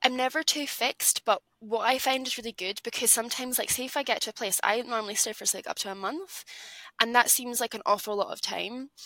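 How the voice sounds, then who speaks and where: A woman with an Edinburgh accent talks at a very fast pace and a high pitch with ordinary pitch variation, in a dry, close sound with no echo. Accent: Scottish (Edinburgh). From Scotland, Edinburgh. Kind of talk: casual chat.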